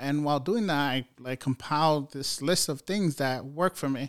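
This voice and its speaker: Talking at a moderate pace, a man with an ordinary speaking voice uses an American accent and ordinary pitch variation. His pitch is fairly high, and the sound is dry and close with no echo. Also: very clean recording, silent background. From New York City. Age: 30s. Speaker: software engineer. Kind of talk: casual chat. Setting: home studio.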